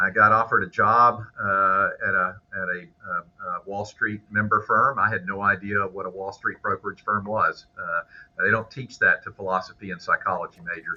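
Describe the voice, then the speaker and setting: This man has a Southern US accent. He speaks at a moderate pace. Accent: Southern American. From US South, Memphis, Tennessee. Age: 60s. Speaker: business broker and business school instructor. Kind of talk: podcast interview. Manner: hesitant, many fillers.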